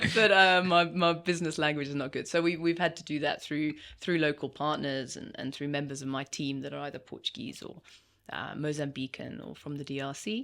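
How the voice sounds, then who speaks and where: A woman with a very deep, low pitch talks at a fairly quick pace, with ordinary pitch variation and big swings in loudness, in a very clean recording with a silent background. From UK. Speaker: business executive. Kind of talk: casual interview chat.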